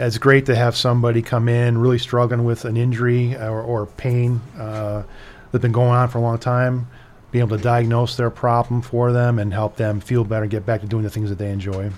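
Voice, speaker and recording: Monotone and flat, a man speaks with an American accent at a fairly quick pace. His pitch is medium. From US Midwest, Chicago area. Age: 50s. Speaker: orthopedic surgeon. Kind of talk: radio interview.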